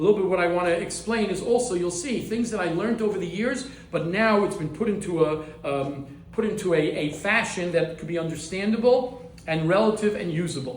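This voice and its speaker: A man with an American accent talks at a high pitch with ordinary pitch variation. The room echo is audible, and background noise is noticeable. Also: fairly quick pace. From US, Baltimore. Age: 60s. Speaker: rabbi, head of a yeshiva. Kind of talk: lecture. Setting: class in a private home. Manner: halting, frequent repetitions.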